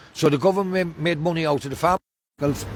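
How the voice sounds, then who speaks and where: A man with an Irish accent speaks at a moderate pace in a somewhat breathy voice. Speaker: hunger striker, abuse survivor. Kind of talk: street interview testimony. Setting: outdoors.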